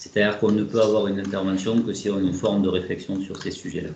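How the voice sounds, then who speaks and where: A man with a southern French accent at a fairly quick pace, with audible room echo. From southern France (Toulouse). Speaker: researcher / statistician. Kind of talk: webinar presentation. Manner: hesitant, many filler words.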